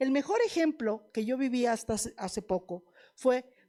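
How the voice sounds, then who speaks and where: With a Mexican accent, a woman speaks at a moderate pace in a high pitch and an animated tone, on a very clean recording with a silent background. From Mexico, La Piedad, Michoacán. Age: 60s. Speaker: veterinarian lecturer. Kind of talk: lecture. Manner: animated, conversational.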